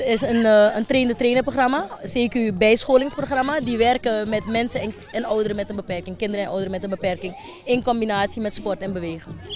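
A woman with a fairly high pitch talks with hardly any pauses and ordinary pitch variation. The sound is dry with no echo, though crowd noise runs in the background. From Suriname, Wanica district; Suriname. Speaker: foundation director. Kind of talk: TV news interview. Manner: halting, with many fillers. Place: open country. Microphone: handheld.

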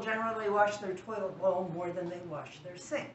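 Recorded with audible room echo and light background noise, a woman talks at a moderate pace. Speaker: canning demonstrator. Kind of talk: tutorial. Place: kitchen.

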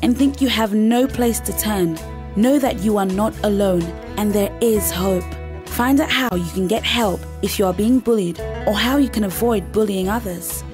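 A woman talks at a moderate pace. Behind her, music plays in the background. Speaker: voice actor. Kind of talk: public service announcement. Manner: assured.

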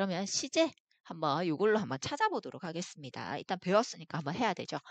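Lively in intonation and fairly quick in pace, a woman speaks in an unremarkable speaking voice with a fairly low pitch. The sound is dry and close with no echo, over a quiet background. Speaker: English teacher. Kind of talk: lecture.

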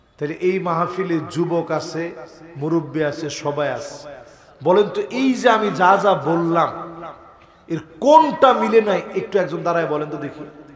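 A high-pitched man with ordinary pitch variation and big swings in loudness over noticeable background noise. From Bangladesh. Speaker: Islamic preacher; religious preacher. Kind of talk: sermon. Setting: outdoor religious gathering with PA. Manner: calm, not shouting. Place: stage. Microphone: podium.

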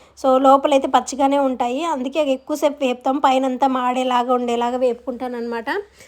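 A woman speaks in a high pitch with a monotone, flat intonation. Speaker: vlogger and clothing seller. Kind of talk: casual vlog narration.

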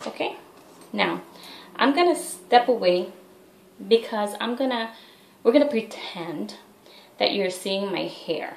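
With audible room echo, a woman speaks at a fairly slow pace with long, frequent pauses, lively intonation and a fairly high pitch. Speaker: head wrap tutorial vlogger. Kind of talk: tutorial. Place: bathroom. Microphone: webcam.

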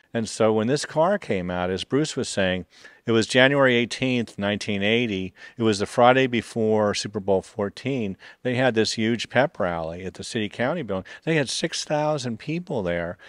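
A man at a moderate pace, dry sound with no echo, quiet background. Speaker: museum guide in conductor uniform. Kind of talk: interview answer. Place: workshop. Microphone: handheld.

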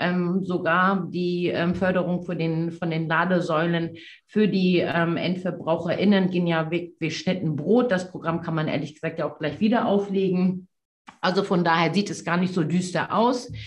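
A woman's somewhat breathy, fairly low voice at a moderate pace. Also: fairly even intonation. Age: 40s. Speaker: politician. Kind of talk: debate. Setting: video call. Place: office. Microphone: video call.

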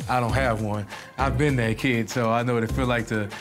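A man's fairly even intonation over clear background music. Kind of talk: interview answer. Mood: earnest, personal. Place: classroom.

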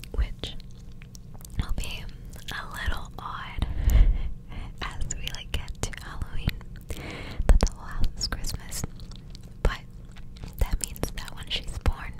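There are long, frequent pauses in this fairly slow delivery. The whispering voice belongs to a woman. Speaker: ASMR creator. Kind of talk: soft-spoken casual chat. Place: home room. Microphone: studio mic.

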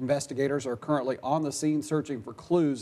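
Dark, mellow tone from a man with a fairly high voice. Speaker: TV news anchor and reporter. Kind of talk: TV news anchor/reporter delivery. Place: studio. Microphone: lapel.

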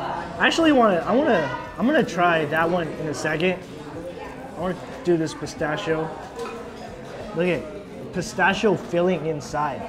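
Amid noticeable background noise, a man with a high pitch speaks at a moderate pace with long, frequent pauses and ordinary pitch variation. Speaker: food vlogger. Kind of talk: casual food review chat. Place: cafe. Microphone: camera far.

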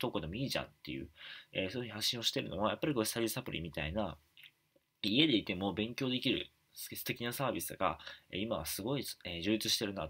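A man rattles off words very quickly in a fairly low pitch. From Japan, Wakayama; Japan. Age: 20s. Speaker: YouTuber and author; YouTuber. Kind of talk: casual talk to camera. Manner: many fillers, halting. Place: home room. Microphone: webcam.

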